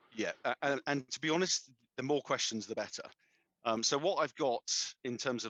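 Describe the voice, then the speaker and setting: The speaker has a British accent. The sound is dry and close, with no echo. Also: man. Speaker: storage vendor technical specialist. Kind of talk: webinar presentation. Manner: fast; informal.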